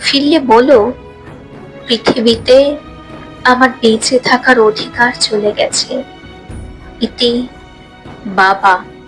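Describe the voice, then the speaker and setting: Over music in the background, a woman talks in a high voice with fairly even intonation. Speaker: poetry reciter. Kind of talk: poetry reading.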